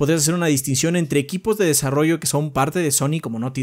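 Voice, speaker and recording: A man talks with a Mexican accent. His pitch varies in an ordinary way over a quiet background. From Mexico. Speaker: gaming podcast co-host. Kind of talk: casual chat. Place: home room. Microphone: studio mic.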